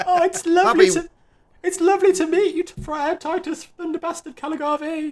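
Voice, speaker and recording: A woman's squeaky put-on character voice at an extremely high pitch, with fairly even intonation and a moderate pace. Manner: upset.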